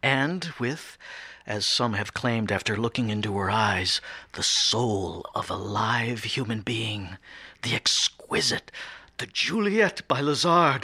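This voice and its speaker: A man's raspy, put-on character voice at medium pitch, fairly slow, enthusiastic and with lively intonation. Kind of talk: radio drama acting. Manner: polished, enthusiastic, smitten.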